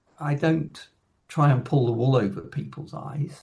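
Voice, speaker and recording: A man talks at a moderate pace with a fairly high pitch. His voice is somewhat breathy. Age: 60s. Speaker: composer. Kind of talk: casual chat.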